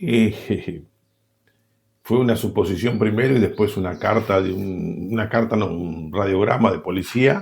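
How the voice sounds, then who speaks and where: Fairly slow, somewhat breathy speech from a man, fairly low in pitch, with ordinary pitch variation. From Argentina, Buenos Aires province. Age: 60s. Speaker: war veteran. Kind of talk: interview. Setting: at home.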